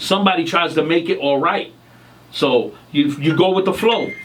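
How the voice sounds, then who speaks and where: A man's animated voice with lively intonation, over noticeable background noise. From New York City. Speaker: singer. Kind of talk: interview.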